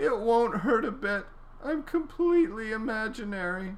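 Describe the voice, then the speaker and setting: A fairly high-pitched, put-on character voice moving at a moderate pace. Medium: read story.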